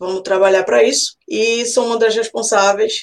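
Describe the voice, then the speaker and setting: A woman speaks with an unremarkable speaking voice. Her intonation is fairly even. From Recife, Pernambuco, Brazil. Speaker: podcast co-host, marketing professional. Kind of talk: casual chat.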